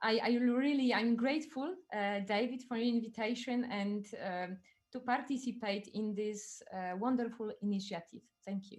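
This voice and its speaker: With a Polish accent, a woman speaks at a moderate pace. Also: fairly high pitch for a woman, ordinary pitch variation. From Poland. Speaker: neurobiologist. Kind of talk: webinar presentation. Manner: halting.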